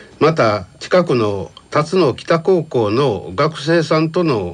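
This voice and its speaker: A man speaks at a fairly high pitch, his intonation lively throughout. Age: 70s. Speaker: senior college student council president. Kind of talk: prepared presentation. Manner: formal.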